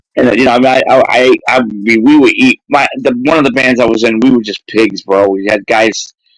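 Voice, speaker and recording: At a fairly quick pace, a man speaks with a dry, close sound and no echo. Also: medium pitch for a man. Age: 60s. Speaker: musician. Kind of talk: casual chat. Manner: animated.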